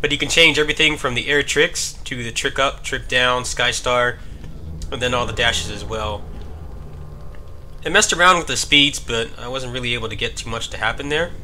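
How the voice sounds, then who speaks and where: A man talks at a fairly quick pace while noticeable background noise runs behind him. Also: medium pitch for a man, ordinary pitch variation. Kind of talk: casual gameplay commentary.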